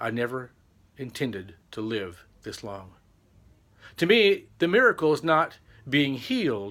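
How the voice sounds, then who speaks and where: In an American accent, a man speaks at medium pitch with a bright, sharp tone, very wide pitch swings and big swings in loudness. He leaves long, frequent pauses, and the recording is very clean against a silent background. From Texas, Amarillo. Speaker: vlogger. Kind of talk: personal testimony.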